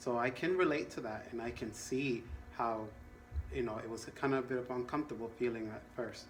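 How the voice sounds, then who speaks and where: Talking at a fairly quick pace, a man with a medium pitch shows ordinary pitch variation amid audible room echo. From Latin America. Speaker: counselor. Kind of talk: role-play counseling session.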